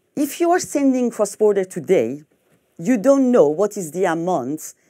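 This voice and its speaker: A woman with a French accent speaks at a moderate pace in a medium pitch, her dark, mellow tone swinging very widely in pitch over a quiet background. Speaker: fintech executive. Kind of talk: conference talk. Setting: stage with audience. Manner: halting. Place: hall.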